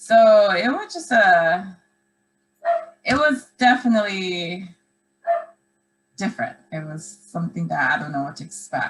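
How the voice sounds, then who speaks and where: Speaking fairly slowly with long, frequent pauses, a woman at a medium pitch lets her pitch swing very widely and her loudness rise and fall a lot. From Philippines, moved to US at nine. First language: Filipino language. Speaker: podcast guest, host's aunt. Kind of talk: casual chat.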